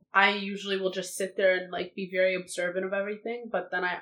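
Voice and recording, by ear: A woman at a medium pitch speaks with a fairly bright tone and little pitch movement.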